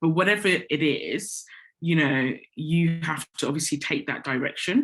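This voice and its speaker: With an English accent, a woman of fairly low pitch speaks at a moderate pace with lively intonation. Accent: very English. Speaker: corporate communications director. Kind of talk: interview. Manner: conversational, many fillers.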